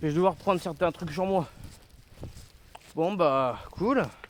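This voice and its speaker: Ordinary pitch variation in a man's high-pitched voice. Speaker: vlogger picking up litter. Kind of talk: casual vlog monologue. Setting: outdoors in nature. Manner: loud.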